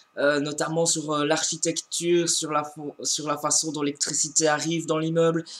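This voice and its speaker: In a monotone, flat intonation, a man with a fairly high pitch talks at a moderate pace. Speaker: book reviewer. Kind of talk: casual book review vlog. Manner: hesitant, many fillers and repetitions.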